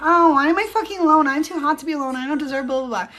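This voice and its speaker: A woman's put-on character voice, high and whiny in tone, at a very fast pace over light background noise. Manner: whiny, self-pitying.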